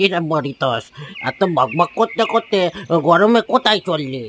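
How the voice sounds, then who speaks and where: Using a cartoonish character voice, a man speaks at a high pitch and a moderate pace with very wide pitch swings, the sound dry and close with no echo. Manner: gentle, moralizing.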